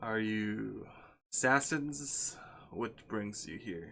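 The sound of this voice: A put-on character voice speaks at a very slow pace with ordinary pitch variation. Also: man, medium pitch for a man.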